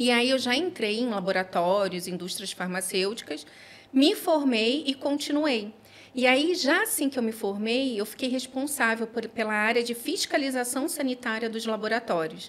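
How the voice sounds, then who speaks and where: Her pitch high and her intonation lively, a woman talks at a moderate pace. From Rio de Janeiro, Brazil. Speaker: pharmacist. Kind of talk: casual interview.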